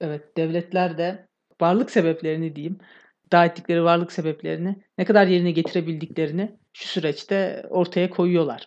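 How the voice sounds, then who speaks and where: Speaking at a moderate pace, a woman holds a fairly low pitch in a monotone, flat intonation. Her loudness swings widely over a quiet background. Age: 20s. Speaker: podcast host. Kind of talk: casual chat.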